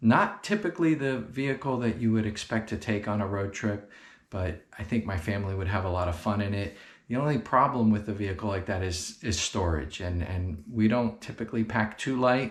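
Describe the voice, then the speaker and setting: A soft-spoken man's fairly low voice at a fairly quick pace, with ordinary pitch variation. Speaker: car enthusiast youtuber. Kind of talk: product overview and installation tutorial. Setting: indoors in a guest bedroom. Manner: soft-spoken, talking quietly; hesitant, many fillers and repeats.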